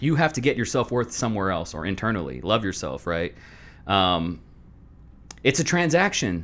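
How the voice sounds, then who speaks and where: At a moderate pace, the voice carries vocal fry and very wide pitch swings. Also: man. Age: 30s. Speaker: podcast guest, former wrestler and video creator. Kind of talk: casual chat.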